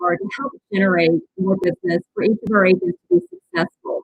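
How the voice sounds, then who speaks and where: A woman speaks at a fairly quick pace with a medium pitch and lively intonation, somewhat breathy. The recording is dry and close, with no echo. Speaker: real estate broker. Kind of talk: interview answer. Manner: enthusiastic.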